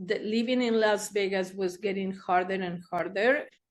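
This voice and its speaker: At a moderate pace, a woman talks with a Spanish accent and ordinary pitch variation. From Argentina, Buenos Aires. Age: 60s. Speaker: therapist. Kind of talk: interview storytelling.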